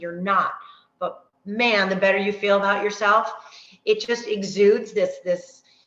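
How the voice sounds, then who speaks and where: The woman's voice sits at a medium pitch. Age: 50s. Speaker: fitness coach. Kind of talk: online workshop talk. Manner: fast; animated.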